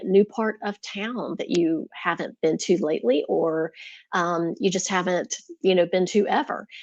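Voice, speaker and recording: A woman speaks at a fairly slow pace in a Southern US accent, her intonation lively. The background is quiet. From US South. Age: 50s. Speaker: lifestyle YouTuber, retired teacher. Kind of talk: casual livestream talk. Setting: live stream.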